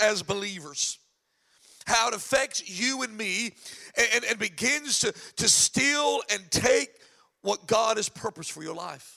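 A man projects a raised, animated voice with a bright, sharp tone and high pitch. He speaks at a fairly slow pace. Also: dry, close sound with no echo. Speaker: pastor. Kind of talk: sermon. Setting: church.

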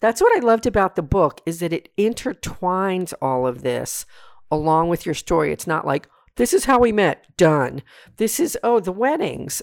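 Animated and enthusiastic, a woman at a medium pitch swings her voice very widely, recorded with a dry, close sound and no echo. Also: moderate pace. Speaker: podcast host. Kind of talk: casual interview chat. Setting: recorded remotely, guests in their kitchen. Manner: animated, enthusiastic.

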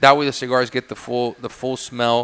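A man talks at a fairly quick pace in a normal speaking voice. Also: dry, close sound with no echo. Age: 40s. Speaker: cigar maker. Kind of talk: casual interview. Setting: studio with live audience.

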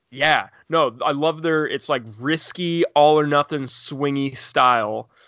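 A man speaks in a Midwestern American accent. His pace is fairly slow, and his intonation is fairly even. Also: fairly high pitch for a man. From Indiana. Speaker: podcast host, tabletop gamer. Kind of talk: casual chat. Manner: halting.

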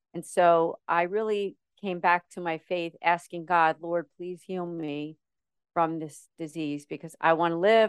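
Against a quiet background with a dry, close sound and no echo, a woman speaks at a moderate pace in an unremarkable speaking voice, fairly low and fairly even in intonation, with big swings in loudness. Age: 50s. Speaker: model, actress and ministry founder. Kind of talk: interview testimony.

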